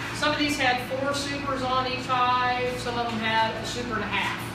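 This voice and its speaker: A woman at a moderate pace with ordinary pitch variation, audible room echo and loud background noise. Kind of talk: tour explanation. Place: workshop. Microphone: camera far.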